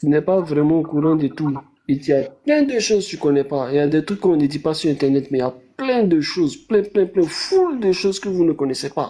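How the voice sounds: A man talks at a fairly quick pace with few pauses, big pitch swings, and a dark, mellow tone with a slightly husky edge. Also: fairly high pitch for a man.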